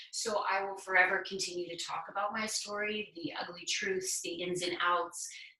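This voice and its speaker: A woman of medium pitch speaks at a moderate pace with fairly even intonation and hardly any pauses, amid audible room echo and noticeable background noise. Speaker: person in addiction recovery sharing experience. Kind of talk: conversational interview.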